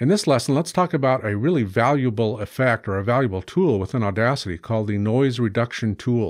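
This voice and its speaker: A man talks at a very fast pace with ordinary pitch variation. The background is quiet. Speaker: audio editing instructor. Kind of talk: tutorial. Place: studio. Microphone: studio mic.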